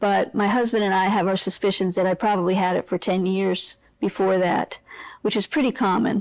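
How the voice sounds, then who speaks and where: With an ordinary speaking voice, a woman talks at a moderate pace, at medium pitch for a woman and with fairly even intonation. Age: 60s. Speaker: person living with Parkinson's. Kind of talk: personal testimony.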